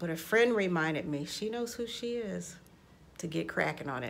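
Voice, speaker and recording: Vocal fry runs through this woman's medium-pitched voice. She speaks at a moderate pace with lively intonation. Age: 60s. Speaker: life coach and vocal coach. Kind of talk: casual talk to camera.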